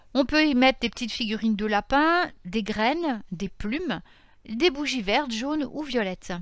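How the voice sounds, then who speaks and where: The recording is very clean, with a silent background. A woman speaks at a moderate pace in a high pitch with lively intonation. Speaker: pagan spirituality youtuber. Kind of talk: informal lecture. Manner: halting, self-correcting.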